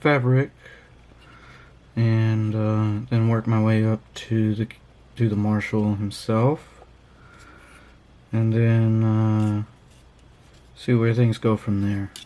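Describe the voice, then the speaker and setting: Mumbling in a dark, mellow voice of medium pitch, a man speaks very slowly with monotone, flat intonation, very even loudness and long, frequent pauses. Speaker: miniature painting hobby youtuber. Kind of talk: casual tutorial. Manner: hesitant, many fillers.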